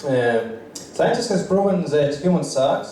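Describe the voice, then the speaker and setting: A man at a very slow pace, with audible room echo and noticeable background noise. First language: Russian. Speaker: stand-up comedian. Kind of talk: stand-up. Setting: stage with audience. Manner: halting.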